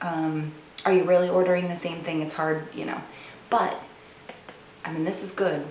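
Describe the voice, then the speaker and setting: A woman's fairly low voice with noticeable background noise and audible room echo. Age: 40s. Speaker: beauty vlogger. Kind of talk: product review. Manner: casual, hesitant with fillers.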